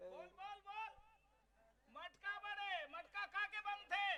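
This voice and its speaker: This is a put-on character voice from a man, pitched extremely high. The pace is fairly slow. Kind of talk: village folk-theatre comic banter. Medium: stage play. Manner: declamatory, call-and-response.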